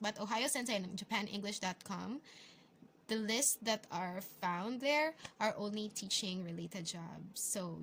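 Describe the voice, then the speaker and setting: A woman speaks with a Filipino accent at a moderate pace. Her pitch is medium, with ordinary pitch variation. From Philippines. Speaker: English teacher and vlogger. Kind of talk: vlog tutorial. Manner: casual, hesitant with fillers.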